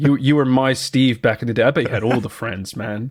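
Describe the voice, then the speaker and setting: A man with a West Country accent speaks at a fairly quick pace with ordinary pitch variation. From southwest England. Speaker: podcast co-host. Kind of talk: casual chat. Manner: animated.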